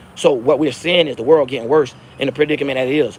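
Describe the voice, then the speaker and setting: Noticeable background noise sits behind this recording. A man speaks very fast at a fairly high pitch. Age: 30s. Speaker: social commentary vlogger. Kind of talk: casual rant to camera. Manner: animated.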